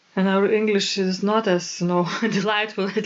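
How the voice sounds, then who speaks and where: A woman with a Lithuanian accent, medium in pitch, fairly slow and flat in a monotone delivery. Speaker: organist and podcast co-host. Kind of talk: casual podcast chat.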